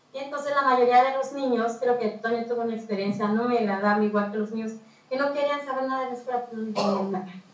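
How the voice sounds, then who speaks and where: A woman's high-pitched voice comes with fairly even intonation and audible room echo. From Mixteca region, Oaxaca, Mexico. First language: Mixtec (speaking Spanish). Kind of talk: talk.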